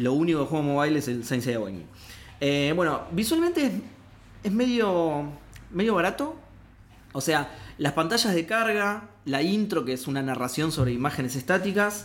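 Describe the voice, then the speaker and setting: A fairly high-pitched man at a moderate pace, with very wide pitch swings, long and frequent pauses, and audible room echo. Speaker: video game podcast co-host. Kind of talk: casual chat. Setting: studio.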